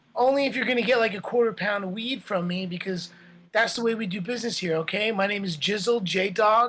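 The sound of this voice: Put-on character voice, whiny and high, from a man talking at a very fast pace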